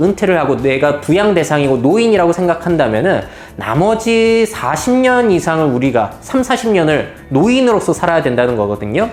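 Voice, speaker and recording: A man speaks at a moderate pace in a high voice, his pitch swinging very widely. Noticeable background noise and audible room echo fill the recording. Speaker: futurist lecturer. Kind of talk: lecture.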